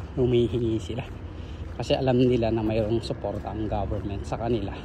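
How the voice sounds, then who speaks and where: A man speaks at a fairly quick pace and a medium pitch, with noticeable background noise and audible room echo. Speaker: vlogger. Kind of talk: casual vlog narration. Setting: outdoors, walking. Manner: softer, lowered voice.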